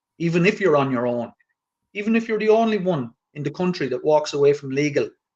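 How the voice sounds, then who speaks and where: A man with a rural Irish accent, lively intonation and a fairly quick pace. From rural Ireland. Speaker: activist guest. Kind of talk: casual chat.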